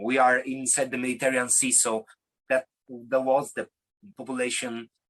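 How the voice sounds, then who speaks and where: Delivered with an Italian accent at a moderate pace, the speech is flat and monotone, with long, frequent pauses and a dry, close sound without echo. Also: man. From Italy. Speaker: singer-songwriter. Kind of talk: interview. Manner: halting.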